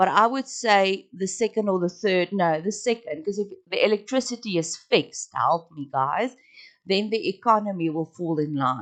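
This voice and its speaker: Lively intonation marks a woman's speech, delivered at a moderate pace. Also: medium pitch for a woman. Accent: strong South African. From South Africa. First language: Afrikaans. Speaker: podcast host. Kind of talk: casual monologue. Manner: halting.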